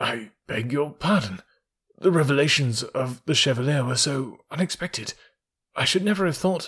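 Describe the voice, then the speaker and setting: Using a shaky put-on character voice, a man speaks at a fairly high pitch. His intonation is lively and his pace is moderate. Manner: trembling, shaken.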